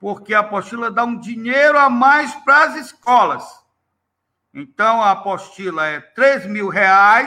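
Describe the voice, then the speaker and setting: A man speaks at a very slow pace in a raised, projected voice with lively intonation. His pitch is extremely high and his tone is bright and sharp. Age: 60s. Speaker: history teacher and textbook author. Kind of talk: interview.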